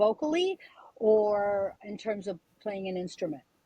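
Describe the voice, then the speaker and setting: A woman speaks fairly slowly in a fairly high pitch, her tone dark and mellow and somewhat breathy. The recording is dry and close, with no echo. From Quebec, Canada (Montreal). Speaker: singer. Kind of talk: interview.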